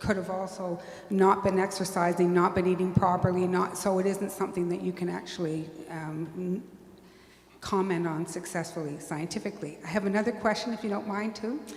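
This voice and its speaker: Noticeable background noise and audible room echo accompany a woman speaking with fairly even intonation. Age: 60s. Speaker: audience member asking questions. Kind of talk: audience Q&A question. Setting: public talk with audience.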